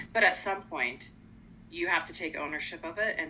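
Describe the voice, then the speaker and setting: A woman with an American accent, ordinary pitch variation, and noticeable background noise. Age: 50s. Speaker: life coach and podcast host. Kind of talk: casual chat.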